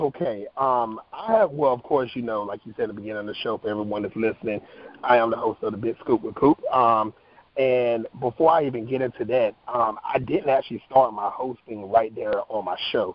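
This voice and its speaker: A man with an American accent, a normal speaking voice, medium pitch with ordinary pitch variation, and a fairly quick pace. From North Carolina. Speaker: actor and talk show host. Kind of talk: interview.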